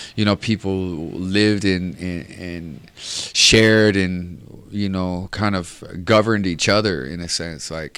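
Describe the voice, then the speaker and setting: In a Samoan accent, a man speaks at a fairly slow pace with fairly even intonation. His pitch is very deep and low. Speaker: reggae singer. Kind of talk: interview answer.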